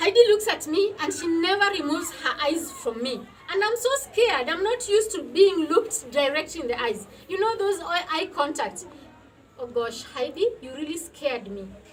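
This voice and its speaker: A woman with a non-native accent at a moderate pace, her pitch extremely high with very wide swings, big shifts in loudness, and noticeable background noise. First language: not English. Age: 40s. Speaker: women's health entrepreneur. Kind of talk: personal testimony. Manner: emotional, earnest.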